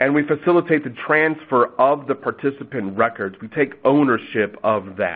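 With a plain, everyday voice, a man speaks at a moderate pace, his fairly high pitch rising and falling in lively intonation. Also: hardly any pauses. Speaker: health plan staff. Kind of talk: webinar presentation. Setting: webinar audio.

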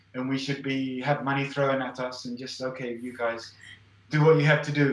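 A man with a fairly high voice speaks in a room with audible echo. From Spain, English-speaking family. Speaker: artist and fine arts professor; fine arts professor. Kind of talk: casual interview. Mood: relaxed, animated. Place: home room. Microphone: video call.

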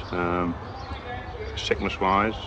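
Over noticeable background noise, a man with a Lancashire accent speaks at a very deep, low pitch in a dry sound with no echo. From northern England. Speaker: union convener; factory worker interviewee. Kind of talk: interview. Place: garden.

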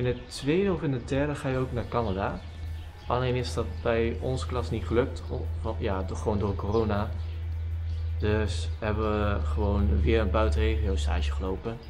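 The speech moves at a moderate pace. Music plays clearly in the background. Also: man, very deep, low pitch for a man. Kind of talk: casual vlog chat. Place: farm machine. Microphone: camera far.

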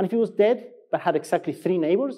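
In an Argentine accent, a man speaks at a fairly quick pace with a dark, mellow tone. The background is quiet. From Argentina. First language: Spanish. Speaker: software engineer, conference speaker; conference speaker. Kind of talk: conference talk. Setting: stage with audience. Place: stage.

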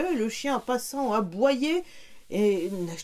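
The speaker reads in an unforced voice, and the intonation is lively.

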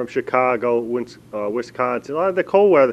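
A fairly fast male talker. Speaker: travel show host. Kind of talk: interview host commentary. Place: street. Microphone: handheld.

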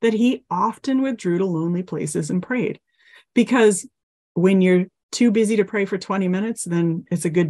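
A plain, everyday voice speaks at a fairly quick pace with ordinary pitch variation over a quiet background. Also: woman. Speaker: mental health counselor and teacher. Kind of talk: guided meditation. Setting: online class, video call. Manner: gentle, instructive.

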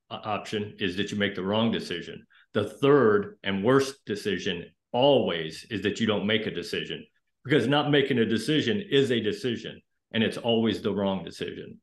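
A man talks at a moderate pace with ordinary pitch variation. There is audible room echo over a quiet background. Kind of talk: interview answer. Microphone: video call.

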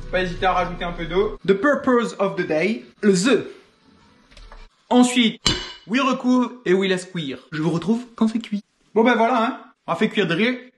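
Faint music plays behind a man speaking at a moderate pace with lively intonation. He takes long, frequent pauses. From Réunion. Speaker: home cook. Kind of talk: humorous cooking video narration. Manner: joking, casual. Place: kitchen. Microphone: phone near.

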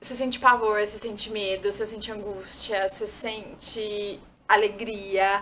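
At a fairly slow pace, a woman speaks in a bright, sharp tone with flat, monotone intonation. Her loudness swings widely over light background noise. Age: 20s. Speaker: YouTuber. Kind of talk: casual vlog talk to camera. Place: home room.

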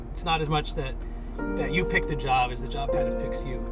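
Loud music plays in the background. Over it, a man talks at a fairly quick pace. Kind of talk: interview answer. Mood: calm, thoughtful. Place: car.

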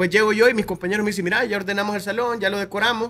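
The speech comes at a very fast pace. It is delivered in a Salvadoran accent. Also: man. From El Salvador, Soyapango; El Salvador. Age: 20s. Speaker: content creator. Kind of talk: interview. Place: studio. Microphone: studio mic.

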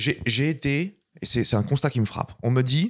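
The voice belongs to a man with a normal speaking voice and lively intonation. He keeps a moderate pace against a quiet background. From France. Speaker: filmmaker; guest. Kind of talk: interview. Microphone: handheld.

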